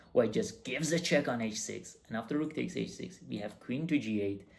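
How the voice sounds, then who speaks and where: A man at a moderate pace with lively intonation. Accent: non-native. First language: not English. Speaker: chess coach. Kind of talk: chess game analysis tutorial. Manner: halting.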